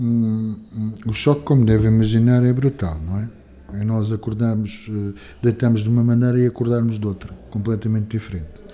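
Dark, mellow tone from a man, medium in pitch, moving at a moderate pace. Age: 50s. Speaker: physician. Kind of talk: interview. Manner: halting, with frequent repetitions and fillers.

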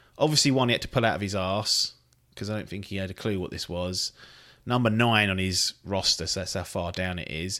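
A man with a low-pitched, bright, sharp voice speaks at a fairly quick pace with ordinary pitch variation on a very clean recording with a silent background.

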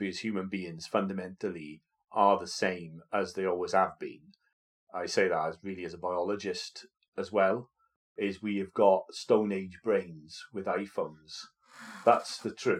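A man speaks in a Welsh accent at a fairly slow pace. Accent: Welsh, noticeable. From Wales. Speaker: podcast co-host, vicar. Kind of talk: casual chat.

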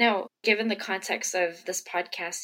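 With an ordinary speaking voice, a woman talks at a moderate pace and her pitch varies in an ordinary way. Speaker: podcast host. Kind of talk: interview conversation.

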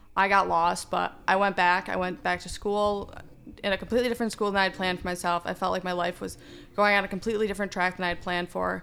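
Very fast and flat, a woman delivers her words in a monotone. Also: medium pitch for a woman. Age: 20s. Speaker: law student. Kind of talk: casual chat.

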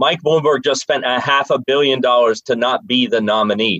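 A plain, everyday voice: a man with an American accent, medium in pitch, at a fairly quick pace. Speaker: presidential candidate, comedian. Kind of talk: political debate.

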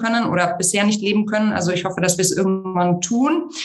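A woman speaks at a fairly quick pace with ordinary pitch variation, her voice carrying audible room echo over music in the background. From Germany, Munich. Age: 30s. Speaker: founder of a women's network. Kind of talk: interview. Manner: hesitant, many fillers.

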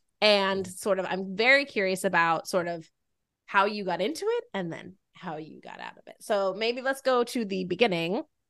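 Over a quiet background, a woman with a normal speaking voice and a medium pitch talks at a moderate pace with ordinary pitch variation. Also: big swings in loudness. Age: middle-aged. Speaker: podcast host. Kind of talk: casual chat.

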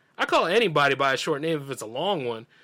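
A man's fairly high voice with an American accent, ordinary pitch variation, a bright, sharp tone, and a very clean recording over a silent background. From US South. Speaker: radio show host. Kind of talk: casual monologue. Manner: animated.

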